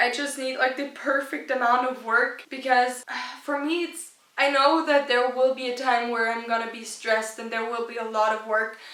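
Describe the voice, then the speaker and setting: A woman with a German accent speaks at a moderate pace with a high pitch, fairly even intonation and big swings in loudness, amid noticeable background noise and audible room echo. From rural Austria. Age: young. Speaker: YouTuber. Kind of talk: casual vlog talk.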